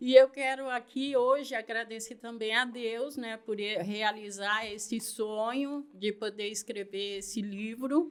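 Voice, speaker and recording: A woman with a plain, everyday voice and a fairly high pitch speaks at a fairly slow pace with fairly even intonation and hardly any pauses. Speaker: missionary and author. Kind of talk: interview.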